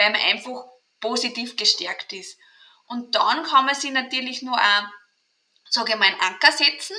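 High-pitched woman's voice with an Austrian accent, ordinary pitch variation, and a moderate pace broken by long, frequent pauses, with big swings in loudness. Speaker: mental trainer and kinesiologist. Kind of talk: interview.

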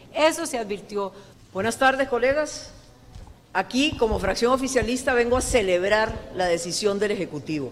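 Over noticeable background noise and audible room echo, a woman with a fairly high pitch speaks at a moderate pace with lively intonation. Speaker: legislator. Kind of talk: press statement. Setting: press conference.

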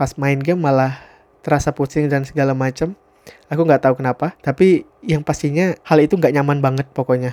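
Recorded dry and close with no echo, a man speaks at a fairly high pitch in a dark, mellow tone. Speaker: podcaster. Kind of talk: casual solo monologue. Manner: casual, conversational.

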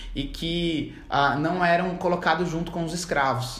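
With noticeable background noise and audible room echo, a man with a fairly high pitch talks at a moderate pace. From Brazil, Campo Grande, Mato Grosso do Sul. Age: 20s. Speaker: law student. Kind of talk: podcast interview. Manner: halting.

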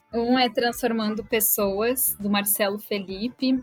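A woman's medium-pitched voice is heard through noticeable background noise. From Rio Grande do Sul, Brazil. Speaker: HR business partner. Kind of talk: interview.

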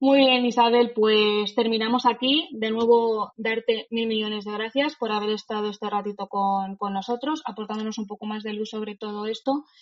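A woman's ordinary speaking voice, fairly high in pitch, at a moderate pace with hardly any pauses, fairly even intonation and big swings in loudness. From Spain, Madrid. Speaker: lawyer and podcast host. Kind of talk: interview.

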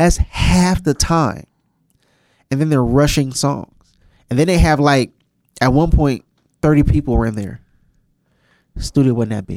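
Long, frequent pauses and ordinary pitch variation in a dry, close sound with no echo. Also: man, fairly high pitch for a man, fairly slow pace. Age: 30s. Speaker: podcast co-host, studio manager. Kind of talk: casual chat.

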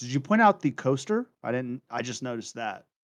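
This man has a medium pitch and an ordinary speaking voice, talking at a moderate pace over a quiet background. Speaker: podcast co-host. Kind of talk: casual chat.

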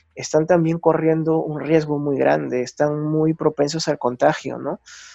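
The man's pitch sits fairly high, and his tone is dark and mellow. He talks at a fairly slow pace in a dry, close sound with no echo. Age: 30s. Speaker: photojournalist. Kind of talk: interview. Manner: halting.

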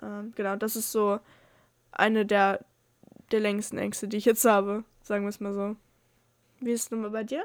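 Over a very clean recording with a silent background, a woman speaks at a fairly high pitch and a moderate pace, her intonation monotone and flat, with long, frequent pauses. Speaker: podcast co-host. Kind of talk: casual chat. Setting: separate rooms. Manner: halting.

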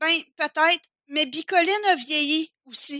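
In a very clean recording with a silent background and a dry, close sound with no echo, a woman uses a raised, projected voice of extremely high pitch, bright, sharp tone and fairly slow pace. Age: 30s. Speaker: photographer. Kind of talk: casual chat.

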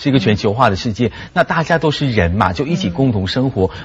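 A man talks at a fairly quick pace with lively intonation. His medium-pitched voice is somewhat breathy. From Malaysia. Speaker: lecturer and TV host. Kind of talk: talk show discussion.

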